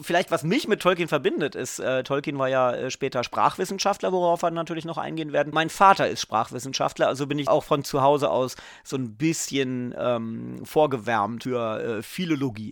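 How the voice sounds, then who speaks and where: On a very clean recording with a silent background, a man talks at a moderate pace with hardly any pauses, using a fairly high pitch and ordinary pitch variation. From southern Lower Saxony, northern Germany. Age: 40s. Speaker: TV journalist. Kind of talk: casual chat. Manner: halting, many fillers.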